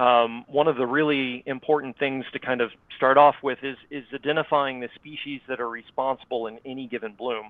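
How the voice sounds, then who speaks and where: In a North Florida accent, the speaker talks fairly quickly with fairly even intonation and big swings in loudness. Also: man. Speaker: water quality scientist. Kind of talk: presentation. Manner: hesitant, many fillers.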